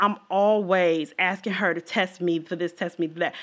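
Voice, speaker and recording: An animated woman's voice. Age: 40s. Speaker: podcast host. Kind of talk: casual monologue.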